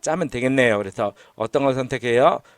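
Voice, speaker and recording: At a fairly quick pace, a man is captured with a dry, close sound with no echo on a very clean recording with a silent background. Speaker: university lecturer. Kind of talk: recorded lecture. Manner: hesitant, many fillers.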